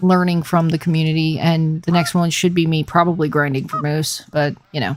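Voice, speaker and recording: A woman talks in a calm tone at a fairly quick pace. Her pitch is very deep and low, and her intonation is monotone and flat. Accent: slight Southern US. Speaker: gaming livestreamer. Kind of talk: casual livestream chat. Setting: livestream.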